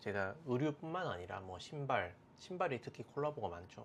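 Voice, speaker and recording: Relaxed in tone, a man speaks at a fairly slow pace as his pitch swings very widely. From South Korea, Daegu. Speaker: fashion and sneaker YouTuber. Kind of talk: casual monologue to camera. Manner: relaxed with frequent fillers.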